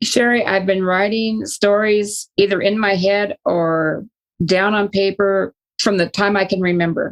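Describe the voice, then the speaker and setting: A woman has a normal speaking voice at a medium pitch, moving at a fairly slow pace with fairly even intonation and very even loudness. The sound is dry and close with no echo. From Northern California. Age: 60s. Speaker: retired psychologist and author. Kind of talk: interview.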